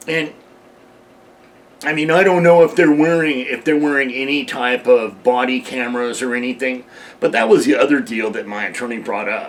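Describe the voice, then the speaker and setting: At a moderate pace, a man speaks at medium pitch in an unremarkable speaking voice. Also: ordinary pitch variation. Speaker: heavy equipment operator. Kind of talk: interview answer.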